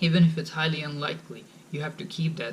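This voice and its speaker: Audible room echo surrounds a man speaking at a fairly quick pace with a Bengali accent. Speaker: college student vlogger. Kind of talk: advice vlog. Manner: casual, informal.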